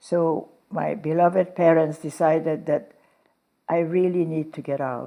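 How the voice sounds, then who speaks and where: Fairly low in pitch, a woman speaks in a Hungarian accent with a dark, mellow tone. Her intonation stays fairly even. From Hungary. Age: 90s. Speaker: Holocaust survivor and philanthropist. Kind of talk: interview.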